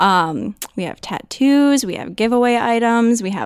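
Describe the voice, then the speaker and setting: A plain, everyday voice speaks at a fairly slow pace with ordinary pitch variation, in a very clean recording with a silent background. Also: woman. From Minnesota. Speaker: social media manager. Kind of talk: interview.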